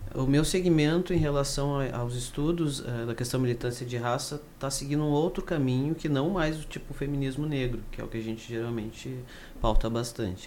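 Speaking at a moderate pace, a man has a fairly high pitch with ordinary pitch variation. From interior of Rio Grande do Sul, Brazil (Carazinho). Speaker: engineering student and activist. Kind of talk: casual chat. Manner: hesitant, many fillers.

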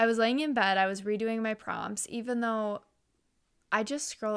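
A woman with a normal speaking voice at a fairly quick pace, on a very clean recording with a silent background. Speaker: podcast co-host. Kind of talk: casual chat.

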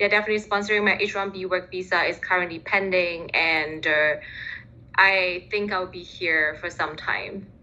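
A woman with a Chinese accent speaks at a medium pitch in a bright, sharp tone with fairly even intonation. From Singapore. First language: Mandarin Chinese. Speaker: recent graduate in international development. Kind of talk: interview. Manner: frequent fillers, hesitant.

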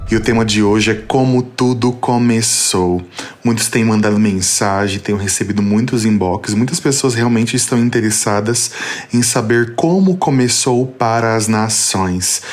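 Over noticeable background noise, a man speaks at a fairly slow pace and a medium pitch with ordinary pitch variation and very even loudness. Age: 30s. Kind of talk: personal faith testimony.

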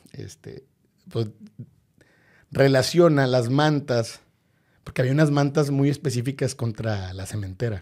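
Man at a medium pitch, fairly slow pace, ordinary pitch variation, with long, frequent pauses. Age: 40s. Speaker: football fan and political scientist. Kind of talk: interview. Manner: halting, many repetitions.

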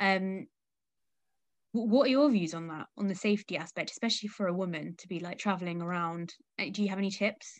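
A woman speaks in an unremarkable speaking voice at a medium pitch and a fairly quick pace, with ordinary pitch variation. Her loudness swings widely against a quiet background. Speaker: podcast host. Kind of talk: casual interview chat. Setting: remote call.

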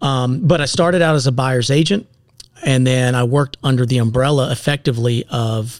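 Talking at a fairly quick pace with an American accent, a man has a plain, everyday voice, medium pitch and ordinary pitch variation, with a dry, close sound and no echo. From US South, upstate South Carolina. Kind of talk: casual chat.

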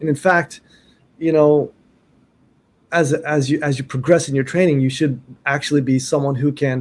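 The man's voice is fairly high and somewhat breathy, with fairly even intonation. He keeps a moderate pace but leaves long, frequent pauses. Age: 50s. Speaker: martial arts teacher. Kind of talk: interview.

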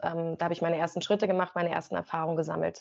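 A woman's fairly low-pitched voice in a monotone, flat intonation. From Brandenburg, Germany (Rangsdorf, south of Berlin). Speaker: sports presenter. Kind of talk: interview.

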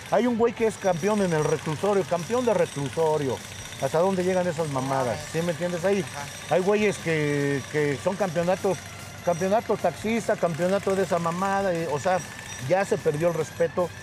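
Over noticeable background noise, a man speaks at a moderate pace in a high voice with ordinary pitch variation. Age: 50s. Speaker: professional wrestler. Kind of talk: casual chat. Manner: animated, heavy swearing banter.

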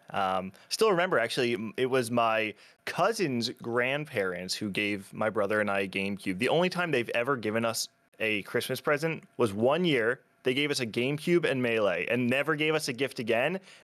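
A man's medium-pitched voice, a normal speaking voice, with an American accent, lively intonation and a fairly quick pace on a very clean recording with a silent background. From New Jersey, US. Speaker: video creator and documentary maker in the melee scene. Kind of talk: casual interview chat.

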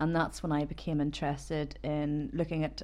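A speaker with a Northern Irish accent talks at a moderate pace. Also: woman. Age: 30s. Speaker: cancer patient and Reiki master. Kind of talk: personal testimony interview. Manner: hesitant.

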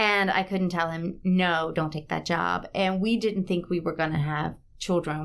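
A woman with an American accent talks at a moderate pace in an ordinary speaking voice, her fairly low pitch held in fairly even intonation, on a very clean recording with a silent background. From South Carolina (Batesburg-Leesville). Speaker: theatre professor and actor. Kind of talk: interview.

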